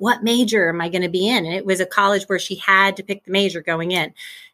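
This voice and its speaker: A woman with an American accent, a bright, sharp tone and medium pitch with ordinary pitch variation, on a very clean recording with a silent background. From US Midwest. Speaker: college and career planning consultant. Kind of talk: interview conversation.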